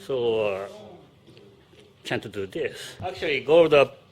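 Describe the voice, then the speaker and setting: A man talks with a Japanese accent. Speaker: stunt director. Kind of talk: interview; on-set demonstration. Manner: halting.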